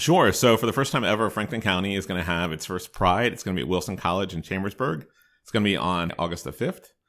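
Very fast and very deep, a man's low voice moves with ordinary pitch variation in a very clean recording with a silent background. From Maryland (Hagerstown). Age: 40s. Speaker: university student affairs director. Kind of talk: interview.

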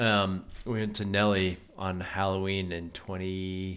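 In an American accent, a man talks very slowly in a very deep, low pitch with monotone, flat intonation. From US West, Colorado. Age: 30s. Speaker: podcast host. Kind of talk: casual chat.

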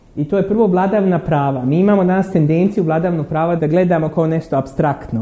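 A man speaks at a fairly quick pace in a fairly high pitch. His pitch varies in an ordinary way, and there is noticeable background noise. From Bosnia and Herzegovina, Derventa. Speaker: academic lecturer. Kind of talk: lecture.

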